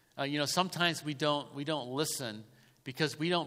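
A man talks at a fairly quick pace with a fairly high pitch and ordinary pitch variation. His tone is bright and sharp, and audible room echo surrounds him. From Lancaster. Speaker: pastor. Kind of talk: sermon.

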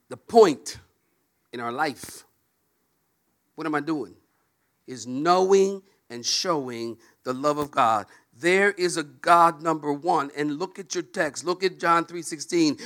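Speaking at a fairly slow pace, the voice leaves long, frequent pauses, shows big swings in loudness and keeps ordinary pitch variation. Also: man, fairly high pitch for a man. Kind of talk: sermon.

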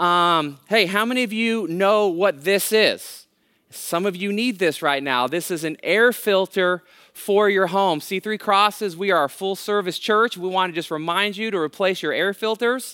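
A man's high, raised, projected voice with an American accent and a bright, sharp tone, on a very clean recording with a silent background. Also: ordinary pitch variation, moderate pace. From California, Bay Area (Hayward). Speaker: guest pastor. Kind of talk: sermon.

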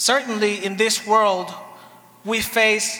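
Over noticeable background noise and audible room echo, a man speaks very slowly in a high, raised, projected voice with monotone, flat intonation. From Dominican Republic. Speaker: pastor. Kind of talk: sermon. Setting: church. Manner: paced in short phrases for an interpreter.

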